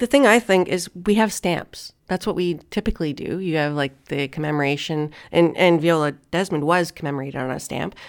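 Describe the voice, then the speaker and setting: A woman with a Canadian accent uses an ordinary speaking voice at a fairly low pitch, with ordinary pitch variation. She talks at a fairly quick pace with hardly any pauses, in a very clean recording with a silent background. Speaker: radio talk show host. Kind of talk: casual chat; scripted commentary.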